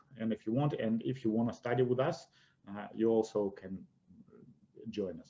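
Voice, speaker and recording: Ordinary pitch variation marks this man's speech with a Russian accent. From Russia, Siberia. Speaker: investment educator. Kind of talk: webinar presentation.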